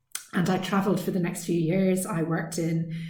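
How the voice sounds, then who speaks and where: A woman in an Irish accent speaks at a moderate pace with a medium pitch and monotone, flat intonation. Her tone is dark, mellow and somewhat breathy, with audible room echo. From west of Ireland. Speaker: author. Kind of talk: recorded author Q&A talk. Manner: hesitant, many ums.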